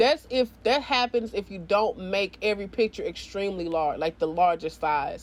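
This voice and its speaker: A woman speaks in an animated tone. Her intonation is lively. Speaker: gaming video creator. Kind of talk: tutorial. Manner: fast; casual, animated.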